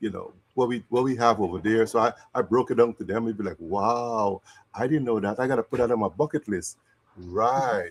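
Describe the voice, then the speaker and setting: Speaking fairly quickly with a Guyanese accent, a man uses a medium pitch with ordinary variation, recorded very cleanly in a dry, close sound with no echo and a silent background. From Guyana. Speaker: interview host. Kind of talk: live interview.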